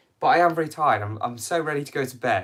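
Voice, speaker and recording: With a British accent and lively intonation, a man speaks at a fairly quick pace on a very clean recording with a silent background. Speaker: cycling youtuber. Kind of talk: live stream q&a. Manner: casual, hesitant.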